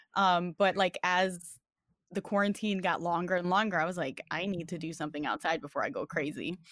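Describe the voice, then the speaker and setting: Speaking at a fairly quick pace with a New York accent, a woman has a fairly low pitch and ordinary pitch variation, in a dry, close sound with no echo on a very clean recording with a silent background. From New York, the Bronx. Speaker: fighting game community member. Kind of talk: casual chat.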